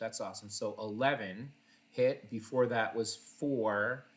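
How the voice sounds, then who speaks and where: Pitched at a medium level with ordinary pitch variation, a man talks in an unremarkable speaking voice. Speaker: online gambling streamer. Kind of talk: live gameplay commentary. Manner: casual, with filler words.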